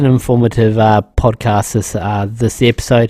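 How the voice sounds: A man talks at a medium pitch and a fairly slow pace. His tone is slightly mellow.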